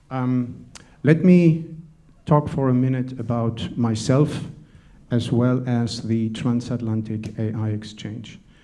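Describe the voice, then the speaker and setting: A man with a slight German accent speaks very slowly at a medium pitch, his dark, mellow tone showing ordinary pitch variation amid audible room echo. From Germany. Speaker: panel moderator, tech entrepreneur. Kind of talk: conference talk.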